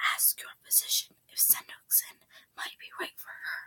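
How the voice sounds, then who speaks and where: A woman whispers at a moderate pace. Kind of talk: reading a book aloud. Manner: soft, gentle.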